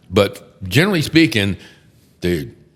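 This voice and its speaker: An animated male voice with a Texan accent. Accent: Texan American. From Texas, Houston. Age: 60s. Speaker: criminal defense attorney. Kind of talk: casual chat.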